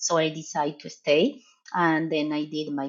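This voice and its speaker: Here is a woman with an Argentine accent. Her pitch is very deep and low. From Argentina. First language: Spanish. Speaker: professor and veterinary researcher. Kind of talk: podcast interview.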